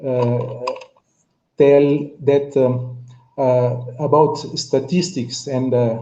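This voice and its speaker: A man's somewhat breathy voice, medium in pitch, with a dark, mellow tone and fairly even intonation. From Cape Verde. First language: Cape Verdean Creole / Portuguese. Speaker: panelist on pan-African discussion. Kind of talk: online panel discussion. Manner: halting, many fillers and repetitions.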